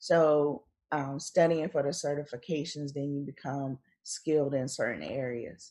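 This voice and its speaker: A woman with a North Carolina accent speaks at a fairly slow pace in a very deep, low pitch. Her tone is dark and mellow, her intonation fairly even. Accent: North Carolina Southern US. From North Carolina, US South. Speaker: author and blogger. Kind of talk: casual interview chat. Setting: remote call.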